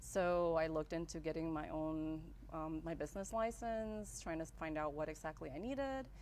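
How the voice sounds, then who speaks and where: Moderate-paced speech in a Spanish accent. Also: woman. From El Salvador, raised in Las Vegas from childhood. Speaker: graphic designer, business owner. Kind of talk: interview. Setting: live-streamed show.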